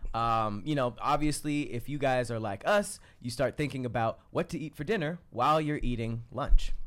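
A man speaks in a plain, everyday voice at a medium pitch. His intonation is lively, his pace moderate, with hardly any pauses. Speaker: podcast co-host. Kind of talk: casual chat.

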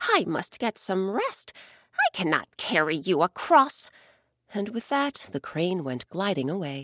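A woman's soothing, gentle tone at medium pitch, with very wide pitch swings and a fairly slow pace, in a dry, close sound with no echo. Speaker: storyteller host. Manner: slow, soothing and gentle, with storyteller inflection.

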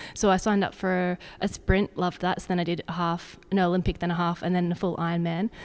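A woman with an Australian accent talks at a very fast pace with fairly low pitch. Her intonation is monotone and flat, in a very clean recording with a silent background. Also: hardly any pauses. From Zambia, Australian family. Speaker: sports dietitian. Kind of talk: casual interview. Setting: indoors by a fireplace.

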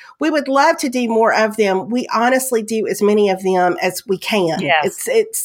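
A woman's fairly high voice in a strong Southern US accent, lively in intonation, at a moderate pace with hardly any pauses. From US South. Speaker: podcast co-host. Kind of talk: casual chat.

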